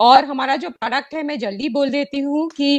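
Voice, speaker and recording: A woman speaks with a non-native accent in a high voice. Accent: non-native Hindi. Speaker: bank executive. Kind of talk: formal address at online launch event. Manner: hesitant, many fillers.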